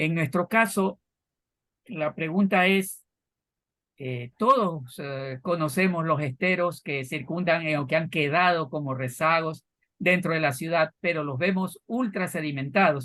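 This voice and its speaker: A man's fairly high, bright, sharp voice at a fairly slow pace over a quiet background. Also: ordinary pitch variation. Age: 70s. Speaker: program host. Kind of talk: panel discussion. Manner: hesitant, many fillers.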